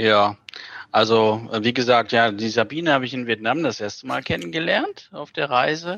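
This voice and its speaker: A man talks at a moderate pace with a medium pitch and ordinary pitch variation. His tone is bright and sharp. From Germany, near Bielefeld. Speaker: graphic designer. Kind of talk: interview.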